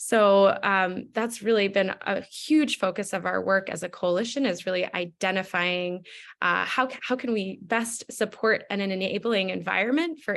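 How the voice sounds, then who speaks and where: Over a quiet background, a woman with an ordinary speaking voice talks at a moderate pace in a medium pitch with hardly any pauses. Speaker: food policy coalition panelist. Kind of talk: webinar presentation. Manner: many filler words (um, uh).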